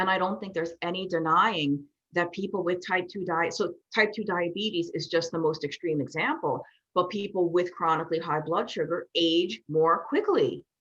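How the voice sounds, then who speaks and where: With an American accent, a woman speaks in an unremarkable speaking voice at a fairly low pitch, with fairly even intonation and a moderate pace. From New York. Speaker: nutrition specialist and author. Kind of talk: interview.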